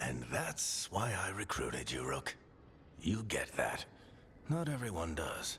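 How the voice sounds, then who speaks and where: Using a put-on character voice, a man talks at a fairly slow pace with long, frequent pauses over clear background noise. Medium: video game. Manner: gruff, warm, fatherly.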